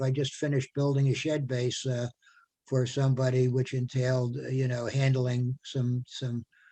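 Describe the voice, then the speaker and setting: A man's medium-pitched, somewhat breathy voice with a dark, mellow tone at a moderate pace. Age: 70s. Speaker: retired carpenter and volunteer. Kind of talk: casual chat. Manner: halting, many repetitions.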